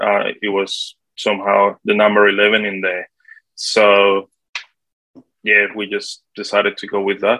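A man speaking at a fairly slow pace with long, frequent pauses. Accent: Spanish. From Colombia. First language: Spanish. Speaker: property manager. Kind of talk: interview.

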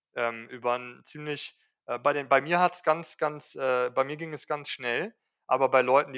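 At a moderate pace, a man speaks with a bright, sharp tone and fairly even intonation. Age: 20s. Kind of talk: casual interview. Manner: hesitant, many fillers.

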